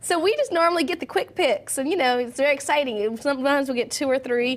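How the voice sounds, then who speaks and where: Very fast and high-pitched, a woman speaks with lively intonation in a Southern US accent. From US South. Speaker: TV host. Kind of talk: TV interview.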